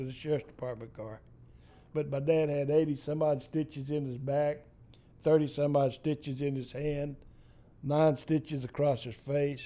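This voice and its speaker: This man has a Texan accent and a fairly high voice with a dark, mellow tone. He talks at a moderate pace. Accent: Texan Southern US. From East Texas. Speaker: storyteller. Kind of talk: storytelling interview. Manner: animated.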